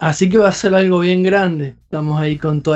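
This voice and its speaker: Speaking with a Rioplatense accent, a man uses a high pitch with ordinary pitch variation. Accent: Argentine (rioplatense) Spanish. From Argentina, Entre Ríos province (small town). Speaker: doctoral researcher and musician. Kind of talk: interview. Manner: hesitant, many fillers.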